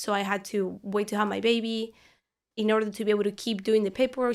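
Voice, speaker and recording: Recorded very cleanly with a silent background, a woman speaks with a Spanish accent at a fairly high pitch. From Argentina. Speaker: parishioner and law student. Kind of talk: podcast interview.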